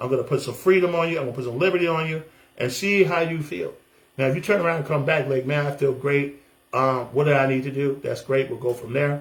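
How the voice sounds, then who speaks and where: A man talks at a very fast pace in an American accent. His voice is somewhat breathy and fairly high in pitch. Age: 60s. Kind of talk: testimony vlog. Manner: animated; halting.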